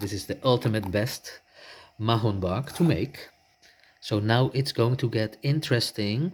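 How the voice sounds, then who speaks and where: On a very clean recording with a silent background, a man speaks at a fairly slow pace. His medium-pitched voice is somewhat breathy, with ordinary pitch variation. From Netherlands. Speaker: home cook vlogger. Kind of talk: cooking tutorial voice-over.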